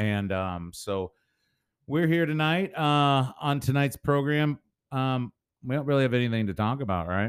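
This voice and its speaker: A man with an American accent speaks at a moderate pace with lively intonation, in a very clean recording with a silent background and a dry, close sound with no echo. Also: medium pitch for a man. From St. Louis area, Missouri. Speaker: podcast co-host, auctioneer. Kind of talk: casual chat.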